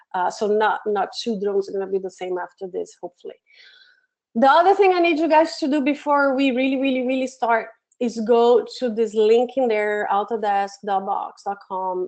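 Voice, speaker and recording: A woman speaks in a Brazilian Portuguese accent at a moderate pace and fairly high pitch, with very wide pitch swings. The background is quiet. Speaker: education program manager, webinar presenter; webinar presenter. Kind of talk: webinar tutorial. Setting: online webinar from home office. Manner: hesitant with many fillers. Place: home room.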